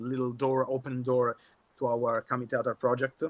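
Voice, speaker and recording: Here a man speaks with an Italian accent and a medium pitch. The sound is dry and close, with no echo. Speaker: kamishibai performer. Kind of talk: workshop presentation. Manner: halting.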